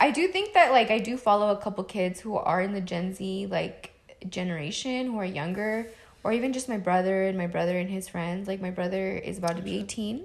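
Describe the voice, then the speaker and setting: A woman speaks at a medium pitch. Her pitch varies in an ordinary way, and her pace is fairly quick. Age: 20s. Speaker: podcast co-host. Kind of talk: casual chat. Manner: animated.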